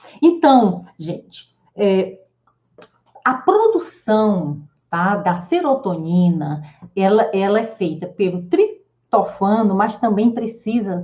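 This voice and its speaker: The voice moves at a very slow pace with very wide pitch swings, a dark, mellow tone and a somewhat breathy quality. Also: woman. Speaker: psychologist and wellness teacher. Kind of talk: live online class. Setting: live stream with chat.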